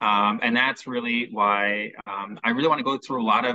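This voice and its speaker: A man speaks at a moderate pace, his voice at a medium pitch, with a Chicago accent. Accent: American, Chicago. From US Midwest, Chicago. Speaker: mortgage specialist. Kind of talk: interview, explaining.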